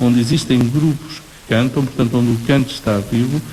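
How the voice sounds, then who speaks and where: A man talks at a medium pitch while music sounds in the background. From Portugal, Nazaré. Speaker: professor. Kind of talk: radio interview.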